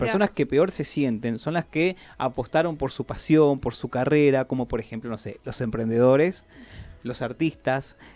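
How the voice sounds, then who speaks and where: A man with a normal speaking voice keeps a medium pitch, a moderate pace and ordinary pitch variation. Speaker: radio host. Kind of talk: radio talk segment. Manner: conversational, explanatory.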